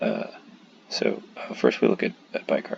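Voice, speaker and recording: The speaker goes at a moderate pace and talks quietly. Noticeable background noise can be heard. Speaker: medical student. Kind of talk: tutorial. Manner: hushed, keeping voice down; halting, many fillers.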